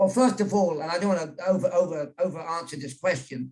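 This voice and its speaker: Here a man speaks with a British accent at a fairly quick pace. His pitch is high, with ordinary variation. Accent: British, unchanged. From England. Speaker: journalist and author. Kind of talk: interview on virtual event. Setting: video call.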